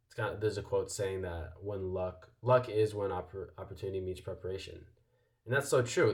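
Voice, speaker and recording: This man speaks very fast in a fairly low pitch, a bit breathy, with ordinary pitch variation. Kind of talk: casual motivational vlog talk. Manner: casual with many fillers.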